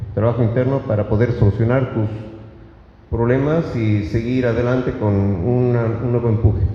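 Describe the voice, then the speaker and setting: Moderate pace amid audible room echo and noticeable background noise. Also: man, medium pitch for a man. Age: 60s. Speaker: public speaker. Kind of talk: lecture. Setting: stage with audience. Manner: halting.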